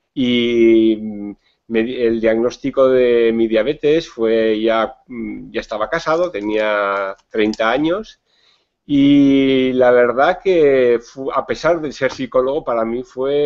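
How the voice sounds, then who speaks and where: Pitch variation stays ordinary. The delivery is very slow. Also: man, medium pitch for a man. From Spain, Navarre (Pamplona). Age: 50s. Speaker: psychologist and diabetes educator. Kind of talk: interview. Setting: video call.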